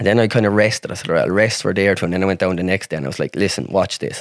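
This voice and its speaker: Recorded dry and close with no echo, a man speaks at a fairly low pitch with a rural Irish accent. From Ireland, rural. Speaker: accident survivor, wheelchair user. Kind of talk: casual chat.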